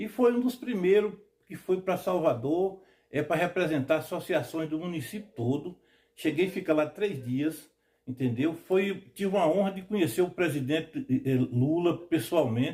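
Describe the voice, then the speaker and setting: Lively intonation and a dark, mellow tone come through at a moderate pace. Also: man, high pitch for a man. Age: 60s. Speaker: quilombo community leader. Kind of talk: documentary interview testimony.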